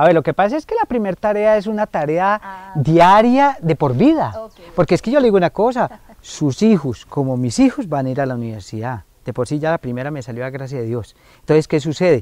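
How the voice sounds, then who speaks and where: This man talks at a fairly quick pace, with big swings in loudness and very wide pitch swings, in a dry sound with no echo. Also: quiet background. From Colombia, Valle de San José (Santander); Santander, Colombia. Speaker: foundation director, family counselor. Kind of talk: interview on community TV. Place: garden.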